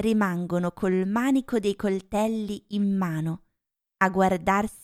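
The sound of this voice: Quiet background behind an unforced reading voice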